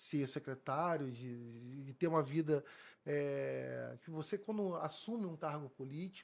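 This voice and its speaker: Here a man with a fairly high pitch speaks at a fairly slow pace, using ordinary pitch variation and big swings in loudness. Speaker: police chief. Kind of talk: interview. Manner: halting.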